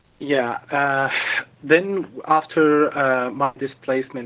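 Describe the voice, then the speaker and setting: Speaking very slowly in an Arabic accent, a man keeps a monotone, flat intonation. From Gaza, Palestine. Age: 30s. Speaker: journalist. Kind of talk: testimony. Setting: video call. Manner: halting.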